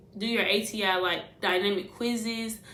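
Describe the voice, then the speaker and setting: A woman speaks with audible room echo. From US Midwest, St. Louis, Missouri. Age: 20s. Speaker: nursing student vlogger. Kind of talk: casual advice vlog. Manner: fast; animated.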